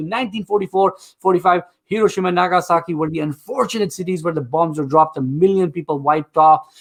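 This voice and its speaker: An animated man talking at a very fast pace and high pitch, with a non-native accent. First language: not English. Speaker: game show host. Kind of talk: live game show hosting.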